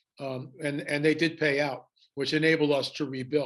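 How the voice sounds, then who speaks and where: A man's fairly high-pitched voice with monotone, flat intonation. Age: 70s. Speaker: author and documentary filmmaker. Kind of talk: interview.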